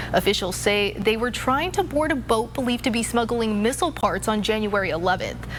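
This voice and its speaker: With lively intonation, a woman talks at a fairly quick pace and a fairly high pitch against noticeable background noise. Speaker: TV news anchor, weather anchor and reporter. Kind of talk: local TV news anchor read.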